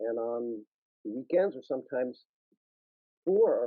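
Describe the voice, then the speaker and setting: This speaker talks at a fairly slow pace with very wide pitch swings, in a New York accent. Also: man. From New York, Brooklyn. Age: 60s. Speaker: caricaturist and illustrator. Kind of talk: guest talk in an online panel interview. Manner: animated.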